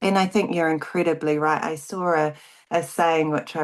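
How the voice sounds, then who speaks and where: A woman speaks at a moderate pace. She has a slight New Zealand accent. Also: quiet background. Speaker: grief advocate and author. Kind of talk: interview. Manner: halting.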